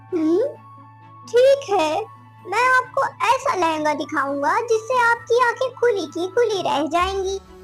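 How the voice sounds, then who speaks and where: Doing a cartoonish character voice, a woman speaks at a fairly slow pace over clear music in the background. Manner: eager, salesy.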